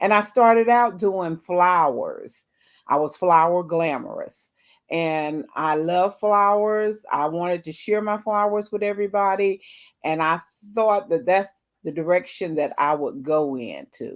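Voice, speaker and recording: Over a quiet background, someone with a Southern US accent talks at a fairly slow pace with lively intonation. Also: woman, medium pitch for a woman. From US South, North Carolina. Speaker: cooking content creator. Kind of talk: interview. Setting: livestream.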